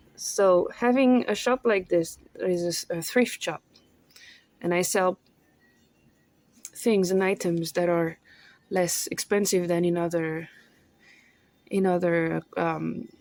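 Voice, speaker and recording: Speaking with a French accent, a woman talks at a very slow pace with long, frequent pauses, her fairly low voice showing ordinary pitch variation. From France. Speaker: vlogger; thrift shop owner. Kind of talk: casual monologue vlog. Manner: halting, searching for words.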